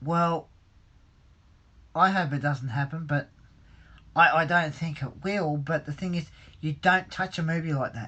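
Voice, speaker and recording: Someone with an Australian accent speaks with long, frequent pauses against a quiet background. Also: fairly slow pace. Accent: Australian, taken by a viewer for British. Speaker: hobbyist livestreamer. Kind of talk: live stream chat reading viewer comments. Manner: hesitant, many fillers and repetitions.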